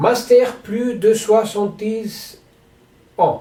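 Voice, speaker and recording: In a Spanish accent, a man speaks with a high voice and a dark, mellow tone. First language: Spanish (speaking French). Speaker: sports federation president. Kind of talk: announcement to athletes. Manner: halting.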